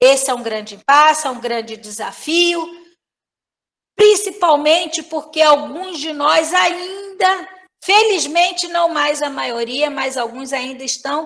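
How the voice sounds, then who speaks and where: A woman speaks at a very slow pace in a high voice with lively intonation. Her tone is bright and sharp. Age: 60s. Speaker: professor. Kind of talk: lecture. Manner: filler-heavy, frequent né.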